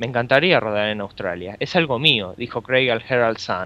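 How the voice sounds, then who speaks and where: A man's bright, sharp tone at a moderate pace. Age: 20s. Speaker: podcast co-host. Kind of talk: casual chat. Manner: halting.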